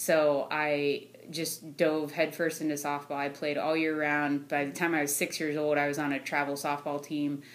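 In an American accent, a woman with a very deep, low voice speaks at a moderate pace in a monotone, flat intonation. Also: hardly any pauses. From Ohio, US. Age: 30s. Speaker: sales engineer. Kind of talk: casual interview. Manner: laughs often.

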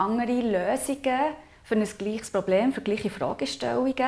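With a Swiss accent and vocal fry, a woman talks at a moderate pace in a fairly high pitch with ordinary pitch variation. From Switzerland, Aargau. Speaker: intercultural consultant. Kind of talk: podcast interview.

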